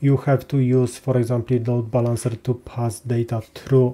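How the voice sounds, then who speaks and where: This man's medium-pitched voice has a dark, mellow tone and is somewhat breathy. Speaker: cloud database tutorial presenter. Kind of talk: tutorial. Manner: hesitant, many filler sounds.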